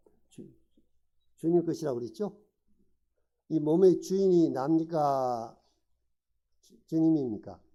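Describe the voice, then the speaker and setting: Speaking at a fairly slow pace, a man uses a dark, mellow tone with lively intonation. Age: 70s. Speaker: lay preacher. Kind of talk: sermon. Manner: interactive questioning of audience.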